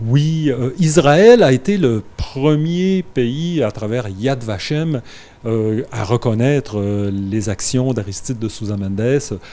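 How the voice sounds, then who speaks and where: At a very slow pace, a man with a medium pitch and a dark, mellow tone speaks with lively intonation. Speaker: grandson of a historical diplomat, guest. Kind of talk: interview. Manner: halting, many fillers.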